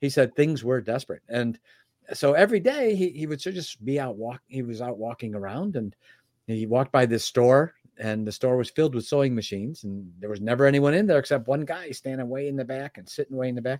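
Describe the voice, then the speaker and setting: In an ordinary speaking voice, a man talks at a fairly quick pace on a very clean recording with a silent background and a dry, close sound with no echo. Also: medium pitch for a man, ordinary pitch variation, big swings in loudness. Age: 60s. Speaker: personal development teacher and founder. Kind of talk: interview.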